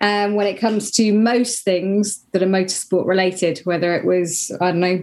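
This is a plain, everyday voice. A woman speaks at a medium pitch with fairly even intonation. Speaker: motorsport presenter and commentator. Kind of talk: casual chat.

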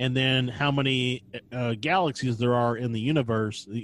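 A normal speaking voice from a man, medium in pitch at a moderate pace. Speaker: podcast co-host. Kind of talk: casual chat.

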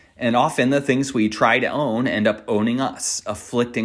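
A man's medium-pitched voice, an ordinary speaking voice, with fairly even intonation. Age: 40s. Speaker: meditation teacher. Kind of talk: dharma talk.

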